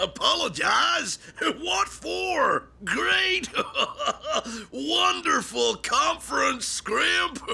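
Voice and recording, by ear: A cartoonish character voice, very slow with long, frequent pauses, over light background noise. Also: man.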